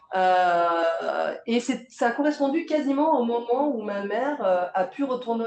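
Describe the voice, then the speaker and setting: Noticeable background noise sits behind the voice. Pitch varies in an ordinary way. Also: woman. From southeastern France, Provence village near Draguignan. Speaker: theatre director and playwright. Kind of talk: public interview conversation. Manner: hesitant, many fillers and restarts.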